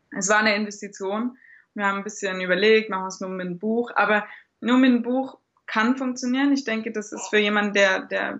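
This woman has a plain, everyday voice at a medium pitch. Her intonation stays fairly even. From Germany. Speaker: blogger and new mother. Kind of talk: interview.

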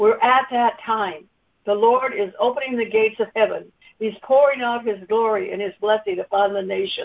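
A woman with a plain, everyday voice, fairly high in pitch, at a moderate pace with ordinary pitch variation. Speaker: conference call participant sharing a word. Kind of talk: scripture reading and sharing. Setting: conference call.

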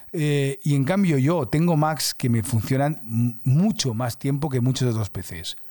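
A man's fairly high, dark and mellow voice with lively intonation at a fairly slow pace, in a very clean recording with a silent background and a dry, close sound with no echo. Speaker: podcast host, creative director. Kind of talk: casual monologue. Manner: halting, many restarts.

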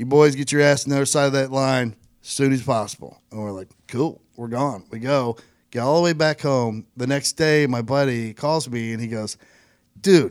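A man with an American accent and an unremarkable speaking voice, medium pitch, ordinary pitch variation and a moderate pace. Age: 40s. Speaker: podcast host. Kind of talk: casual chat. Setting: studio.

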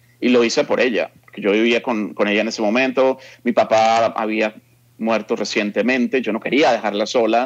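The voice is a normal speaking voice, moving at a moderate pace with fairly even intonation. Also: man. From Colombia, Bogotá. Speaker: journalist. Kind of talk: interview.

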